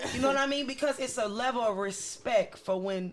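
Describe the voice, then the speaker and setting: This woman's voice is loud. It leaps through very wide pitch swings. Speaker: podcast co-host. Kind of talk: casual chat. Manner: stern.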